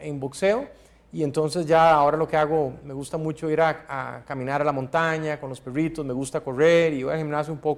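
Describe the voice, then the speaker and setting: In a Costa Rican accent, the speaker talks at a fairly quick pace. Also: man. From Costa Rica, Guanacaste. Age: 40s. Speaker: political candidate. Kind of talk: interview.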